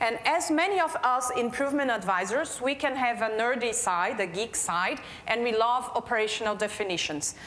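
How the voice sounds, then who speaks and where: In audible room echo, a woman with a non-native accent and a high pitch speaks with lively intonation, very even loudness and hardly any pauses. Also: moderate pace. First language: Portuguese. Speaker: healthcare quality manager. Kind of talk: conference keynote talk.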